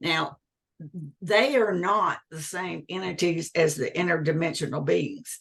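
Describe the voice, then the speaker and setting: A fairly low-pitched woman's voice with vocal fry, lively intonation, big swings in loudness and a fairly slow pace. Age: 60s. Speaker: UFO contactee, former government employee. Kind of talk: interview testimony.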